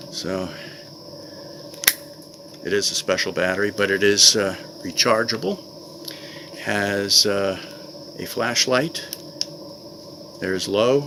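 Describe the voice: With long, frequent pauses, a man talks slowly in a fairly low voice with a bright, sharp tone over faint background noise. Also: ordinary pitch variation.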